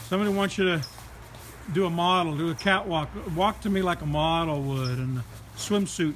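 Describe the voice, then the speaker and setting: A man speaks with a high pitch and ordinary pitch variation. There is light noise in the background. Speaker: live-stream host. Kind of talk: playful commentary. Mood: amused, teasing. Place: garden. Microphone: phone near.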